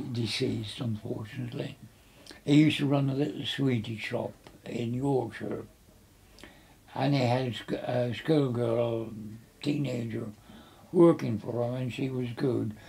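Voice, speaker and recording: A man speaks fairly slowly in a dark, mellow, somewhat breathy voice, with fairly even intonation and long, frequent pauses. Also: medium pitch for a man. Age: 80s+. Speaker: interviewee. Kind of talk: life story interview. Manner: halting.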